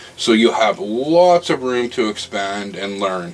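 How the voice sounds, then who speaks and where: A man's speech, at a moderate pace, is accompanied by music in the background. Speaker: hobbyist maker vlogger. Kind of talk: casual vlog chat. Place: workshop. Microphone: camera far.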